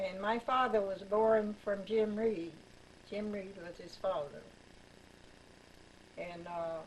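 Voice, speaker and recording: With audible room echo, a woman at a medium pitch speaks very slowly, with ordinary pitch variation, long, frequent pauses and big swings in loudness. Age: 80s+. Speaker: grandmother sharing family history. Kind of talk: oral history interview. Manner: halting.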